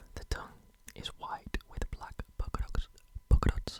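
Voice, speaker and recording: Someone whispers at a moderate pace. Noticeable background noise is present. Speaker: ASMR creator. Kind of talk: ASMR shoe collection show-and-tell. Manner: whispered; repetitive trigger words.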